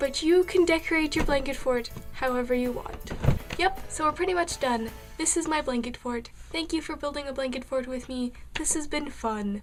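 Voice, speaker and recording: Over music in the background, a woman with a high pitch talks at a moderate pace with lively intonation. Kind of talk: casual how-to tutorial talk to camera. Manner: playful, offhand.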